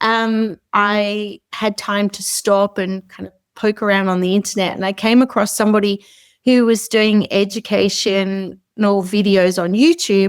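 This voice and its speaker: A woman in an Australian accent, medium-pitched with fairly even intonation, at a fairly slow pace, dry and close with no echo on a very clean recording with a silent background. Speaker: short-term rental host and founder. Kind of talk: interview. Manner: casual, hesitant with fillers.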